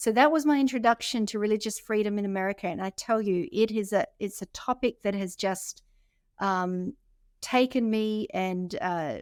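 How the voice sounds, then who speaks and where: Woman with an Australian accent at a moderate pace and ordinary pitch variation, the recording very clean with a silent background and a dry, close sound with no echo. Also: fairly high pitch for a woman. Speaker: podcast co-host, magazine editor. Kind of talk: casual chat.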